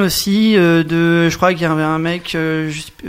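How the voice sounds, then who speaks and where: Noticeable background noise surrounds a man speaking with a high voice. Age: 40s. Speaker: musician. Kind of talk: casual chat. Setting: studio.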